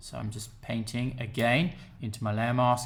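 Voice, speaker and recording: The speaker talks at a moderate pace with an English accent. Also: man. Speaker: photoshop tutor. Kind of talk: software tutorial narration.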